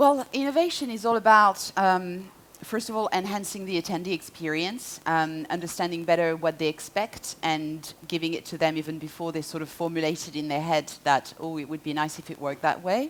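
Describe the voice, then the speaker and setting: A fairly quick pace with hardly any pauses, ordinary pitch variation and a French accent. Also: woman, fairly low pitch for a woman. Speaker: marketing executive. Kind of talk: conference talk.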